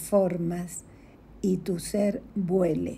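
A woman's medium-pitched, somewhat breathy voice with a dark, mellow tone, at a very slow pace. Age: 60s. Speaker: spiritual coach. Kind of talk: inspirational reflection.

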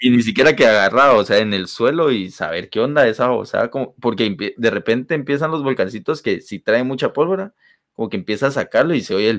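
In a very clean recording with a silent background, a man with a plain, everyday voice talks with lively intonation. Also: medium pitch for a man. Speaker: podcast co-host. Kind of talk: casual chat.

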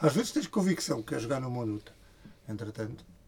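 Somewhat breathy, a man with a medium pitch talks at a very fast pace. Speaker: podcast co-host. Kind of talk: casual chat.

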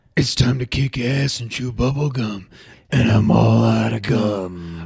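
A man's put-on character voice, guttural, raspy and strained, medium in pitch and at a fairly slow pace. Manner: tough, deadpan.

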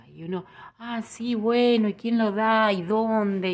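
A woman's normal speaking voice, medium pitch, fairly slow pace, on a very clean recording with a silent background. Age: 50s. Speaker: podcast host, Ho'oponopono teacher. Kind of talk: spiritual talk. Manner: calm, gentle.

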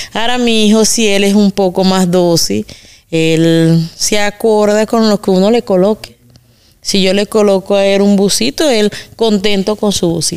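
A woman with a normal speaking voice at medium pitch, fairly slow pace, very even loudness and fairly even intonation. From Venezuela, Carabobo. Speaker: migrant woman, mother. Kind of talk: interview conversation.

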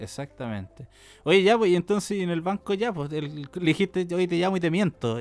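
At a moderate pace, a man with a Chilean accent talks at a high pitch with ordinary pitch variation. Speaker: podcast co-host. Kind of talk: casual chat.

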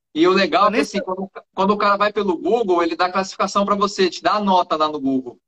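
A high-pitched man at a very fast pace, with lively intonation. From interior of São Paulo state, Brazil. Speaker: barber and live-stream host. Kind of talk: casual chat.

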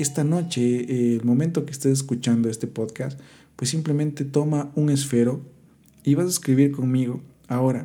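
Dark, mellow tone at a moderate pace, with fairly even intonation. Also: man, fairly high pitch for a man. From Ecuador, Quito. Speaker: podcast host, musician and marketing entrepreneur. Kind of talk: motivational monologue. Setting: solo podcast recording.

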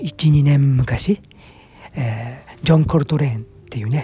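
Noticeable background noise around a man's medium-pitched voice. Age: 40s. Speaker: fig farmer and podcaster. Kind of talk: casual solo monologue. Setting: outdoors at the farm.

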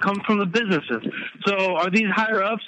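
With an American accent, a man with a high pitch speaks at a fairly quick pace. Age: 20s. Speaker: navy veteran, guest. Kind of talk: casual discussion, political talk. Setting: phone call.

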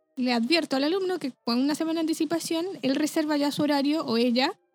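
With music in the background, a woman talks at a moderate pace in a dry, close sound with no echo. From Chile (Rancagua). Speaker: flutist, music teacher. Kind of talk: casual interview chat.

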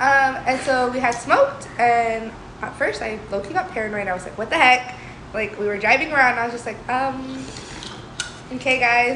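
A woman speaks at a high pitch and a moderate pace. Audible room echo and noticeable background noise fill the recording. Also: ordinary pitch variation. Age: 20s. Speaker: podcast co-host. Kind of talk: casual chat.

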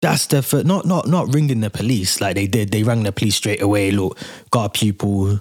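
Using a plain, everyday voice, a man speaks at a fairly low pitch and a moderate pace, with ordinary pitch variation. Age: 30s. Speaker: podcast host. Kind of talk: casual solo commentary.

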